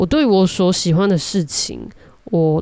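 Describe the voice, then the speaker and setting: A woman speaks very slowly in a dark, mellow tone with a Taiwanese accent. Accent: Taiwanese Mandarin. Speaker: podcast host. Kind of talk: solo monologue. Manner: halting, many filler sounds.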